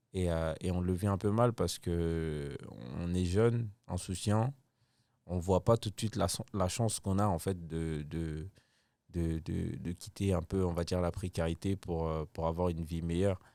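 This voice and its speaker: A man's very deep, low voice with a dark, mellow tone, fairly even intonation and a fairly slow pace, on a very clean recording with a silent background. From Ivory Coast, Abidjan. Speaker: comedian. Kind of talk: casual chat.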